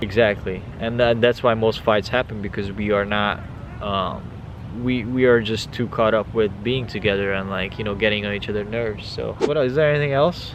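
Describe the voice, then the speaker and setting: A man's fairly low voice at a fairly quick pace with fairly even intonation, amid noticeable background noise. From Hungary (Budapest). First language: Hungarian. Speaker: vlogger. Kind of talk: casual chat. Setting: outdoors.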